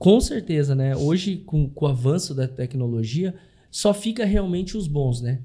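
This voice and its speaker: A man's fairly high, somewhat breathy voice with a dark, mellow tone, lively intonation and a fairly slow pace. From Brazil, Curitiba. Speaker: consórcio investment specialist. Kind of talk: interview.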